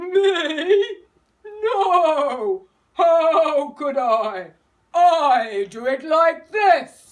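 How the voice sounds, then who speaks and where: This is a put-on character voice with an extremely high pitch. It moves at a very slow pace. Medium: read story.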